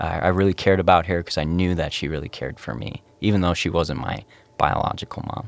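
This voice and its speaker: Very deep and low, a man's voice with vocal fry races along at a very fast pace in an American accent. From northern Minnesota, US. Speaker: youth pastor. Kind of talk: testimony.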